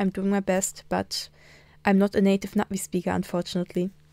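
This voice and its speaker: Recorded very cleanly against a silent background, a woman with a German accent speaks at a medium pitch in a dark, mellow tone, the sound dry and close with no echo. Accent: German accent in Na'vi. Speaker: language teacher. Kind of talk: tutorial.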